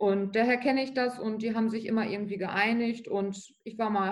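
This woman's voice sits fairly high. She talks at a fairly quick pace. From Lower Saxony, Germany (Bückeburg). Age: 20s. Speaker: trainee office clerk and tattooed model. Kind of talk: interview.

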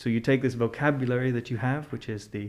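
With an American accent, a man has an unremarkable speaking voice at a medium pitch with fairly even intonation. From Scotland, partly raised in the US. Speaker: chef and food technology expert. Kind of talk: casual interview.

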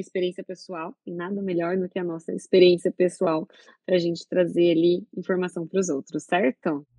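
This is a woman at medium pitch with fairly even intonation. She has an unremarkable speaking voice. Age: 30s. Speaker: gynecologist and obstetrician. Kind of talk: casual chat.

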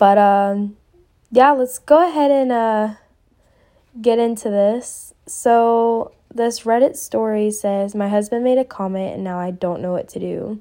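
Her tone is dark and mellow, with a fairly high pitch. This woman speaks at a fairly slow pace. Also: ordinary pitch variation. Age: 20s. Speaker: podcast host. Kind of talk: casual chat.

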